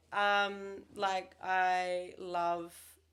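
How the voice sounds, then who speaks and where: A woman with an Australian accent, fairly low in pitch, with fairly even intonation. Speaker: real estate agent. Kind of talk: casual chat.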